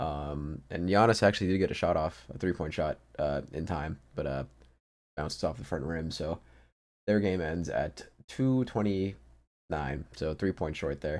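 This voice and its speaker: Fairly slow speech from a man with a very deep, low pitch and ordinary pitch variation. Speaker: sports betting podcast host. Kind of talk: solo podcast monologue. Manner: hesitant, many fillers.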